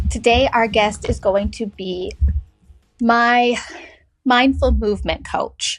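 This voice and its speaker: Music runs in the background. Over it, a woman talks. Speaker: podcast host. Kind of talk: casual podcast conversation.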